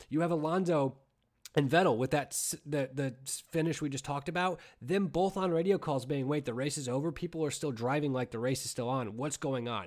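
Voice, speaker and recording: With an ordinary speaking voice, a man talks at a fairly quick pace. His pitch is fairly high, with ordinary pitch variation. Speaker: podcast host. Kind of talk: casual chat.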